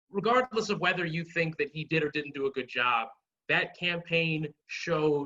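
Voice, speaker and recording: Speaking in an ordinary speaking voice, a man with a fairly high pitch talks at a fairly slow pace with ordinary pitch variation. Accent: American. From Maryland, Prince George's County. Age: 20s. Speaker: political activist and candidate. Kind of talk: podcast interview. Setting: video call.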